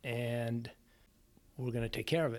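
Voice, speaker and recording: A man at a medium pitch and a moderate pace. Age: 50s. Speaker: cancer survivor and cyclist. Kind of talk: interview.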